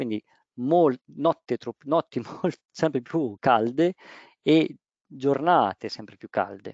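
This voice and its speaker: A man at medium pitch with lively intonation, big swings in loudness, a very slow pace and long, frequent pauses. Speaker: roofing waterproofing project manager. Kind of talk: webinar presentation. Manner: halting.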